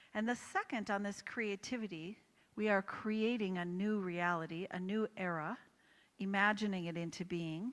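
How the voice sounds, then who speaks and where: A woman speaks in a normal speaking voice, medium pitch for a woman, moderate pace and fairly even intonation. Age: 60s. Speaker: holistic coach and author. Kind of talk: motivational talk.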